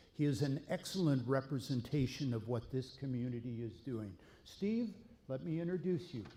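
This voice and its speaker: Lively in intonation, a man with a medium pitch and a dark, mellow, somewhat breathy tone speaks at a moderate pace. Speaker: mayor. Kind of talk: public speech.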